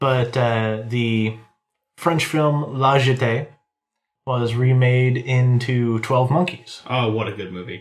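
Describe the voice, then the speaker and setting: A man speaks very slowly at a medium pitch. His intonation stays fairly even. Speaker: co-host. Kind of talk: casual chat.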